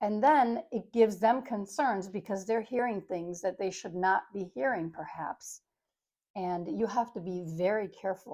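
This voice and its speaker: A woman speaks at medium pitch with a dark, mellow tone and ordinary pitch variation. Her pace is moderate, and the recording is very clean with a silent background. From Italy. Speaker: nurse. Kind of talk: educational talk to camera. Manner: loud; animated.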